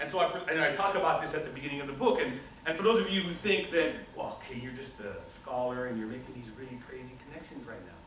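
A man talks at a very fast pace with big swings in loudness. Audible room echo and light background noise are present. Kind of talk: lecture. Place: classroom. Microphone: camera far.

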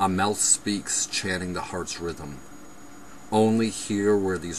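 The recording of this man sounds dry with no echo, though noticeable background noise comes through. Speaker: poet reading own poems. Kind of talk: poetry reading, performed poem. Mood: intense, brooding. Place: home room. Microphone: webcam.

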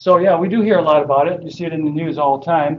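Fairly even in intonation, a man talks at a fairly quick pace. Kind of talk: lecture. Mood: relaxed, joking. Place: classroom.

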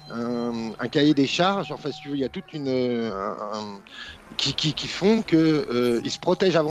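A man with an ordinary speaking voice and a fairly high pitch, at a fairly slow pace with lively intonation and big swings in loudness, in a dry sound with no echo over light background noise. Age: 40s. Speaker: caller. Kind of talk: casual chat. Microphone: video call.

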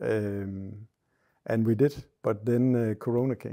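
This man's voice has a dark, mellow tone, a medium pitch and fairly even intonation. He speaks with a Danish accent over a quiet background. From Denmark. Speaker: hunter. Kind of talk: casual chat. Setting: hunting cabin. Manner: halting. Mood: relaxed, calm storytelling. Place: home room.

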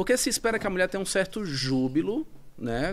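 A man at a very fast pace, his pitch swinging very widely. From Brazil. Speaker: psychiatrist; guest. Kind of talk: interview. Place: studio. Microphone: studio mic.

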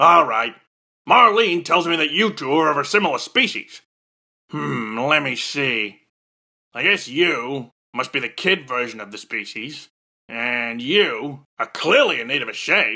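At a fairly slow pace, a man uses a cartoonish character voice pitched fairly high. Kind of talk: military drill-sergeant parody. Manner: gruff, barking, pompous.

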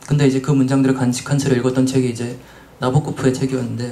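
A man at a fairly quick pace, monotone and flat in intonation. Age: young. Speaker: translator. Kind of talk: panel discussion. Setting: live event with audience. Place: shop. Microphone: handheld.

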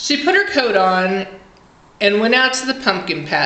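Someone reads aloud, plainly.

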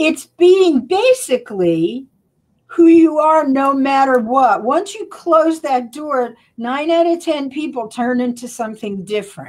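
A woman speaks in a high, energetic voice with very wide pitch swings against a quiet background. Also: fairly slow pace. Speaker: coach and performer. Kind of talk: interview. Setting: live video stream. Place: home room. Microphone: studio mic.

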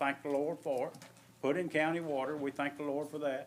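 A man with an Alabama accent speaks at a fairly high pitch. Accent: Southern US (Alabama). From US South, Alabama. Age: 60s. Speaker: resident speaking at public comment. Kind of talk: public comment at county meeting. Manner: halting, many fillers.

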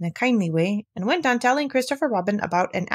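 The reading voice is natural, and its intonation is lively.

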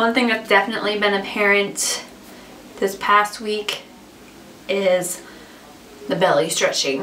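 There is noticeable background noise as a woman talks with long, frequent pauses. Her pitch is medium, with ordinary variation. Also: fairly slow pace. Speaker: vlogger. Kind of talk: casual vlog monologue. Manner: filler-heavy, chatty.

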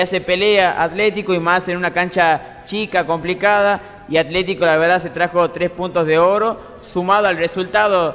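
Over faint background music, a man talks at a high pitch in a flat monotone. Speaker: sports co-host. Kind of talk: TV sports commentary. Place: studio.

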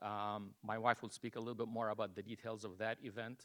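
Medium-pitched man at a fairly quick pace. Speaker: resident giving public comment. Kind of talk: public comment at council meeting. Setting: city council meeting, public podium. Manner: loud; hesitant, many fillers.

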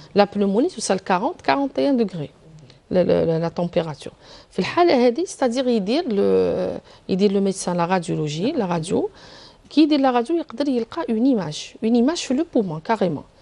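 A woman with an Algerian accent speaks at a fairly quick pace in a medium pitch. Her dark, mellow tone swings very widely in pitch. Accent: Algerian Arabic with French code-switching. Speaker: pediatric surgeon; guest. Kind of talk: TV health interview. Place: studio. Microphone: lapel.

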